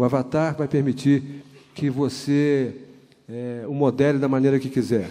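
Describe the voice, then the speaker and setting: A man's fairly high voice, fairly slow and monotone, with flat intonation. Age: 60s. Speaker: conference speaker. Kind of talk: conference talk. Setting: auditorium with audience.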